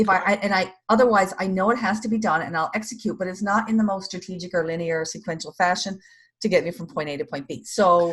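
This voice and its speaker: This woman speaks at a very fast pace with an American accent, and her voice is somewhat breathy. Her pitch is medium, with ordinary variation. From US East Coast. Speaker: stress management trainer playing a coaching client. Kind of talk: role-play coaching session. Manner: fast when nervous or excited.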